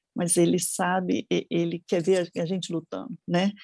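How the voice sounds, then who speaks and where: A woman has a fairly low pitch with a dark, mellow tone and some vocal fry. Her intonation stays fairly even in a dry, close sound with no echo. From Brasília, Brazil. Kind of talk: interview, personal testimony.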